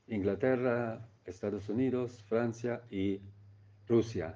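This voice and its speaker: A man speaks with a German accent at medium pitch, using ordinary pitch variation and a dark, mellow tone. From East Germany. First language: German (speaking Spanish). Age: 70s. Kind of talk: testimony. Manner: halting.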